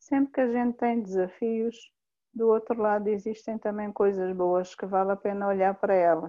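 A woman talks with fairly even intonation at a medium pitch and a moderate pace. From Mozambique (Inhambane). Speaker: humanitarian worker. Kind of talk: interview, personal testimony. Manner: halting, with repetitions.

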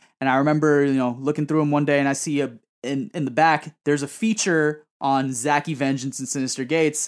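With an ordinary speaking voice, a man in an American accent talks at a fairly quick pace with a fairly high pitch and fairly even intonation, on a very clean recording with a silent background. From Queens, New York (Woodside). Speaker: singer. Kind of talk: casual chat.

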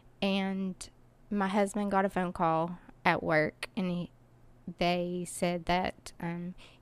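A woman speaks in a flat monotone on a very clean recording with a silent background. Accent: Appalachian. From US South, Kingsport, Tennessee. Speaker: charity founder. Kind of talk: interview.

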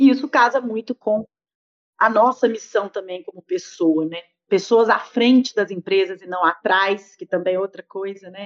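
A normal speaking voice moves at a moderate pace with ordinary pitch variation. Its loudness swings widely, and the sound is dry and close with no echo. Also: woman, medium pitch for a woman. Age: 40s. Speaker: business and innovation consultant. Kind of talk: interview.

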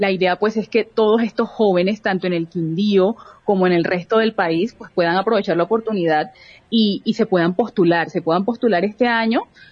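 Speaking with a strong Barranquilla accent, a woman uses a medium pitch. Her pace is fairly quick, and her pitch varies in an ordinary way. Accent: Barranquilla coastal accent, still strong. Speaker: youth organization director, entrepreneur. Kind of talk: radio interview.

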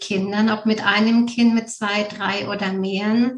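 At a very slow pace, a woman with a somewhat breathy, medium-pitched voice speaks in a monotone, flat intonation. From Bavaria, Germany. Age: 30s. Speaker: mother, former mentoring participant. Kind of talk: interview.

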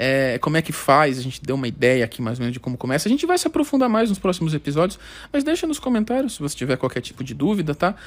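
Speaking at a very fast pace, a man with a fairly high pitch moves through very wide pitch swings. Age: 20s. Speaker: podcast host. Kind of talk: casual chat.

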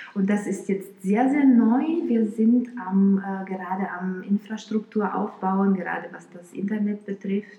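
With hardly any pauses, a woman talks at a fairly slow pace and medium pitch, using ordinary pitch variation and big swings in loudness, over noticeable background noise. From Romania, Bucharest. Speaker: violinist. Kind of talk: interview. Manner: hesitant with fillers.

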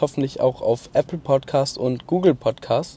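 Somewhat breathy male voice with a dark, mellow tone, fairly high in pitch, at a moderate pace. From Baden-Württemberg, Mannheim area. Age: 20s. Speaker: podcaster. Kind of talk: casual monologue. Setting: in a car at a motorway rest stop. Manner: hesitant, filler-heavy.

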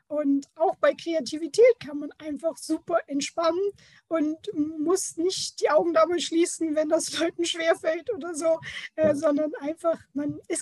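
This woman's voice is high-pitched, at a moderate pace. The sound is dry and close, with no echo. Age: 30s. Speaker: creativity mentor. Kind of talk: interview.

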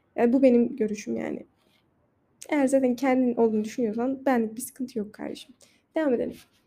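A woman with a non-native accent speaks very fast at a high pitch, her dark, mellow tone paired with fairly even intonation. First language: not Turkish (speaking Turkish). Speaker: podcaster. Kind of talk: casual monologue. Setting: outdoors on a balcony.

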